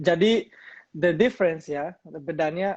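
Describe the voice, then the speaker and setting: A man's voice with ordinary pitch variation. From Colombia. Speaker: crypto company business developer. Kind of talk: interview. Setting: livestream. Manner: halting, many fillers.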